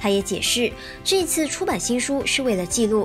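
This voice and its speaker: Backed by music, a woman speaks at a moderate pace with very wide pitch swings. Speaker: news reporter. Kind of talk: TV news voice-over.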